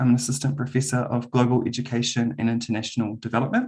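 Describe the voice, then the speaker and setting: Speaking with a New Zealand accent, a man uses a medium pitch. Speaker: university lecturer. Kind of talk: webinar presentation. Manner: hesitant, many filler ums.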